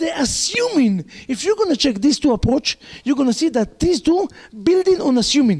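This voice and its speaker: Over noticeable background noise, a man with a non-native accent speaks in an animated tone at a moderate pace, his extremely high voice showing very wide pitch swings at very even loudness. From Israel. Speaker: rabbi. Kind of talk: lecture.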